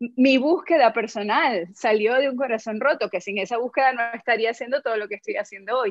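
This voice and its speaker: The speaker uses ordinary pitch variation against a quiet background. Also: woman. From Venezuela. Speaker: yoga life coach and former actress; yoga life coach, former actress. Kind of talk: casual interview chat. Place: home room. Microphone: video call.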